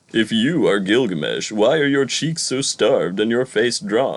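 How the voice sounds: Doing a put-on character voice, a man talks at a moderate pace in a medium pitch.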